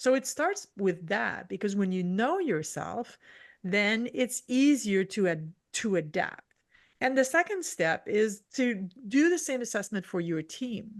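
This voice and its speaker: A woman with a French accent talks at a fairly slow pace with very wide pitch swings, set against a quiet background. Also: fairly high pitch for a woman. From French-speaking region. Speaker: leadership strategist. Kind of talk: podcast interview. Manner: halting, self-correcting.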